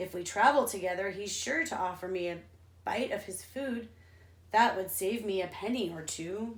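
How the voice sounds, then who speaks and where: A woman talks at a moderate pace in a put-on character voice. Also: medium pitch for a woman. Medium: read story. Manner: sneering.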